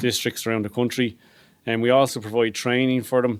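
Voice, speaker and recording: With an Irish accent, a man speaks at a medium pitch in a very clean recording against a silent background. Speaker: police fraud detective. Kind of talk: presentation. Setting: hotel function room with live audience. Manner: fast.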